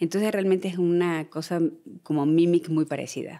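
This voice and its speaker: In a very clean recording with a silent background, a woman with a dark, mellow tone speaks fairly quickly in a monotone, flat way. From Argentina. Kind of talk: podcast interview.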